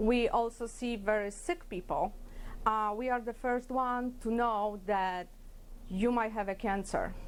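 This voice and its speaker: With a Polish accent, a woman speaks at a fairly slow pace. Her pitch is fairly high, with ordinary variation. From Poland. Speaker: ultrasound technologist. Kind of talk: workplace interview talk. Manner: hesitant, with fillers.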